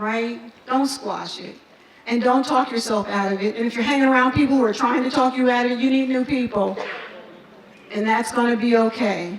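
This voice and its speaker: A high-pitched woman's animated voice at a fairly quick pace, over noticeable background noise. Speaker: nonprofit leader. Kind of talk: motivational speech. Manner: fast.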